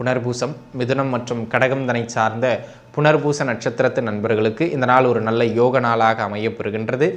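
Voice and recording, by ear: A man's medium-pitched voice at a moderate pace, with few pauses and fairly even intonation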